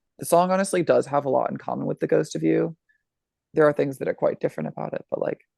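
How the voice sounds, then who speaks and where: A man talks at a very fast pace with an American accent. The sound is dry and close, with no echo. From Iowa (Ames). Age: 20s. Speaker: musician, screamo band trumpeter. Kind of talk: casual interview chat.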